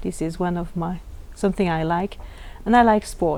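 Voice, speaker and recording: A woman with a French accent speaks at a moderate pace. Her tone is dark and mellow, her intonation fairly even. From Switzerland, French-speaking. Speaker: educator trainer. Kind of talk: interview. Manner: halting.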